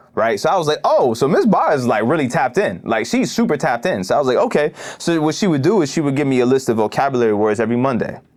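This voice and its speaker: Talking at a very fast pace with hardly any pauses, a man uses a fairly high pitch and lively intonation. His loudness stays very even over noticeable background noise. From Toronto, Canada, also London. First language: Arabic. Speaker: hip hop artist and community organizer. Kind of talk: podcast interview. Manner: casual, many fillers and repetitions.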